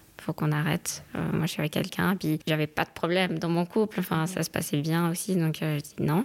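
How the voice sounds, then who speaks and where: Using a plain, everyday voice, a woman speaks at a fairly quick pace and fairly low pitch, keeping very even loudness and fairly even intonation. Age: 30s. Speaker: lawyer and doctoral student. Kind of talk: casual chat.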